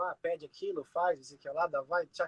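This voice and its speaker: A man talks at a fairly quick pace with lively intonation, in a dry, close sound with no echo. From Brazil. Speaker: clown. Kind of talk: casual chat. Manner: animated.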